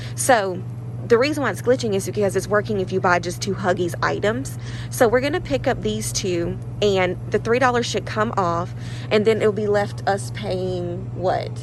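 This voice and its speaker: Noticeable background noise sits under the speech, and audible room echo trails it. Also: woman, moderate pace. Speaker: couponing vlogger. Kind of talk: casual vlog. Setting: in a store. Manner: loud whisper.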